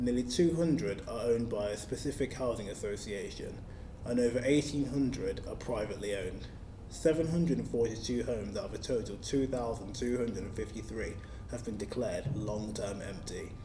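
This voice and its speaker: A man talks at a fairly quick pace with a medium pitch and ordinary pitch variation. Audible room echo can be heard. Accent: London. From South East London. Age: 20s. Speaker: local councillor. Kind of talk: scripted manifesto speech. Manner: formal.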